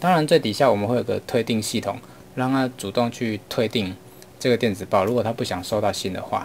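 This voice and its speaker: Light background noise sits behind a man talking at a very fast pace. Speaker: online marketing teacher. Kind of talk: lecture. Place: home room.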